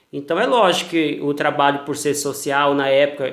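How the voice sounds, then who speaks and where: A man with a Mato Grosso do Sul accent speaks at a moderate pace. His pitch is fairly high. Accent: Mato Grosso do Sul accent, noticeable. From Brazil, Mato Grosso do Sul (Campo Grande). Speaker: cultural producer, former pastor. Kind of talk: interview. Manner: formal.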